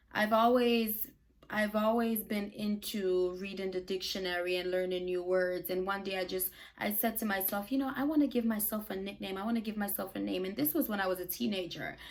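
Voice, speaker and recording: A woman with an animated tone and a fairly quick pace, over noticeable background noise. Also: medium pitch for a woman, ordinary pitch variation. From Brooklyn, New York (born in Jamaica). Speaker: YouTuber and podcaster. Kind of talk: casual vlog monologue.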